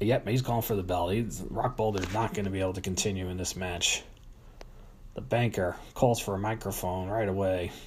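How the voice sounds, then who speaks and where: A man with a fairly low pitch, somewhat breathy, with fairly even intonation at a fairly quick pace. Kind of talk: live wrestling commentary, play-by-play of a staged match with ring announcements. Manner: announcer-style showmanship, hyping storylines and rivalries.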